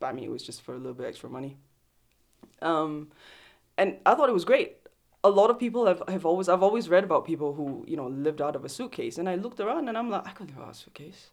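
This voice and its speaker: A woman speaks very fast at a medium pitch, with big swings in loudness and very wide pitch swings. The recording is very clean, with a silent background. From Singapore. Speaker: photographer. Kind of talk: casual interview.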